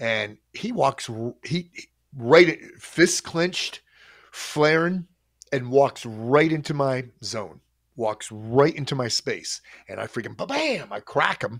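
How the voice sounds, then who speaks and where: A man at a very slow pace, with lively intonation, long and frequent pauses, and a quiet background. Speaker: storyteller host. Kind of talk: casual storytelling on a livestream. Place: home room. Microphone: studio mic.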